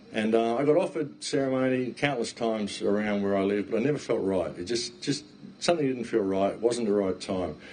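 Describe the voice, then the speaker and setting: A man with an Australian accent speaks at a fairly quick pace. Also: medium pitch for a man, lively intonation. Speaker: talk guest, speaker. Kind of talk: talk to an audience. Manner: animated.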